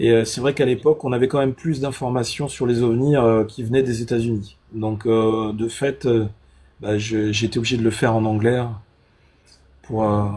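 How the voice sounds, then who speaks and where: A man speaks at medium pitch and a moderate pace with fairly even intonation. His tone is dark and mellow, and somewhat breathy. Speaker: UFO content creator. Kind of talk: live stream conversation. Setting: live stream. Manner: hesitant, many fillers.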